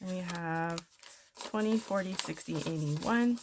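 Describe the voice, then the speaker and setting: With a Canadian accent, a woman speaks at a moderate pace in a somewhat breathy voice of medium pitch and ordinary pitch variation. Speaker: budgeting vlogger. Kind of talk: casual tutorial.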